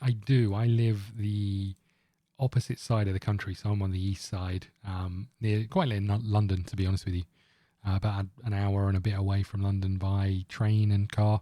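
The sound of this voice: The man's voice is fairly low, somewhat breathy and dark and mellow in tone, with monotone, flat intonation. The recording is very clean, with a silent background. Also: moderate pace.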